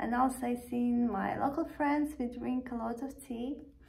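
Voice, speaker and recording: A high-pitched woman's voice with a non-native accent and monotone, flat intonation, in audible room echo. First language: not English. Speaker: vlogger. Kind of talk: casual vlog monologue.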